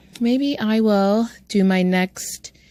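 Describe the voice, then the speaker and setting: In a dry, close sound with no echo, a woman speaks with an American accent. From United States. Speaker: travel vlogger. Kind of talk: casual chat. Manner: conversational, chatty.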